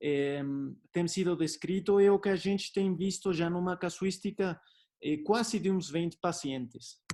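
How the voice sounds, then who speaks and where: A man's high-pitched voice in a dark, mellow tone at a fairly slow pace. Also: ordinary pitch variation. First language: Spanish (speaking Portuguese). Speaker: doctor. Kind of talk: lecture. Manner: hesitant, many fillers.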